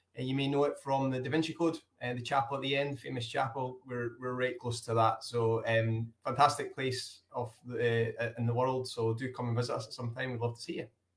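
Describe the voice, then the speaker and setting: In a Scottish accent, a man talks at a fairly quick pace and medium pitch in a monotone, flat intonation, somewhat breathy and with hardly any pauses. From Scotland. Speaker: hotel operator. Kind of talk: interview.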